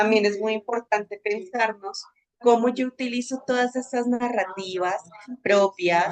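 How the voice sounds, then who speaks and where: A woman at a fairly slow pace with ordinary pitch variation, her sound dry and close with no echo, music playing in the background. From Bogotá, Colombia. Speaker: social communicator and agency director. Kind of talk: webinar talk.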